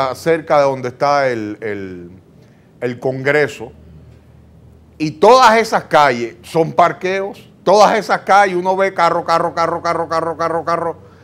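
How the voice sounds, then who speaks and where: The intonation is lively. The pace is fairly slow. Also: man, high pitch for a man. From Dominican Republic. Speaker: talk show co-host. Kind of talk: talk show interview. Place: studio. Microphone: lapel.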